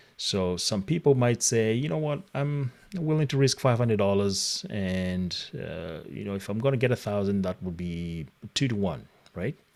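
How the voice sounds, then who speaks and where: A man speaking at a fairly slow pace with very wide pitch swings. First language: not English. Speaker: trading coach. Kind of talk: live online class. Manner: halting.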